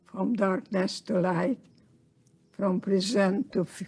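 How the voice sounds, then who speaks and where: Speaking very slowly in a Hungarian accent, a woman has a medium pitch, a dark, mellow tone and fairly even intonation. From Hungary. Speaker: Holocaust survivor and psychotherapist. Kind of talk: interview.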